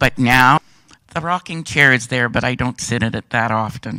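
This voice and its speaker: With a French Canadian accent, a man speaks at a moderate pace in a bright, sharp tone and medium pitch. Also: very clean recording, silent background. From French Canada. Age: 60s. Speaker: hearing aid user. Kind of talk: testimony.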